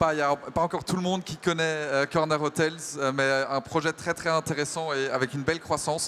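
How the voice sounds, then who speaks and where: This man talks at a fairly quick pace in a fairly high pitch, with a bright, sharp tone and monotone, flat intonation. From Germany. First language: German (speaking French). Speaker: panel moderator, tech company executive. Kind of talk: conference panel moderation. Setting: stage with audience at trade show. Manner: hesitant, many fillers.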